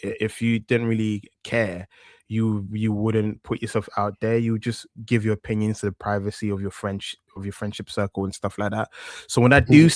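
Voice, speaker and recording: On a very clean recording with a silent background, a man with a strong East London accent speaks at a moderate pace and fairly low pitch. His intonation is monotone and flat, and the sound is dry and close with no echo. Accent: thick East London. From East London, England. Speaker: wrestling news presenter, interviewee. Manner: conversational, hesitant, repeats words.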